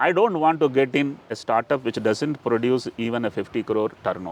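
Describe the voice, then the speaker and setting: This man has a normal speaking voice, with medium pitch, ordinary pitch variation and a moderate pace. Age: 60s. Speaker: entrepreneur. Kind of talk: interview.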